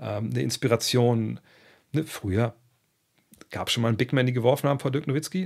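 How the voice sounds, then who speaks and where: A man at a very fast pace and medium pitch, with ordinary pitch variation and a quiet background. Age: 50s. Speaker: basketball podcast host. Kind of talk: casual podcast monologue answering listener questions. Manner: conversational with many fillers. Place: home room. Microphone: studio mic.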